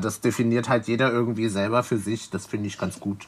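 A man with a bright, sharp tone. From Leipzig, eastern Germany. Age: 20s. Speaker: drag performer and DJ. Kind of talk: casual interview.

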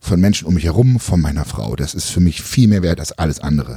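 A man talks at a moderate pace with very wide pitch swings and a somewhat breathy, dark, mellow tone. The sound is dry and close, with no echo. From eastern Germany (former GDR). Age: 30s. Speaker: podcast host and bodybuilding YouTuber. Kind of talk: casual chat.

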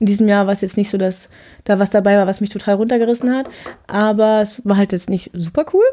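Moving at a very fast pace, the speech carries a dark, mellow tone. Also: woman, medium pitch for a woman. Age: 20s. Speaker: podcaster, law trainee. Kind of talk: solo monologue. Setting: home office. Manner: animated.

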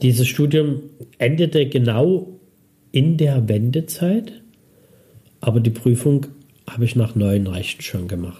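Very slow and somewhat breathy, a man speaks at a medium pitch in a dark, mellow tone, with lively intonation and long, frequent pauses. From Dresden, Saxony, eastern Germany. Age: 50s. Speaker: city archive director. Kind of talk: interview.

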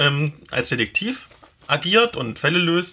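This is a man talking. His pace is very slow. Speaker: podcast host and blogger. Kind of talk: casual chat.

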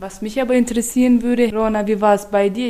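A woman speaks in a dark, mellow tone. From Turkmenistan, capital city. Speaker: colleague at an intercultural prevention organisation. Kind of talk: casual chat.

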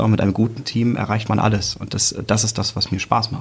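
A man talks at a fairly quick pace. His voice is somewhat breathy and fairly low in pitch. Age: 30s. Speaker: team manager. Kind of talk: casual interview.

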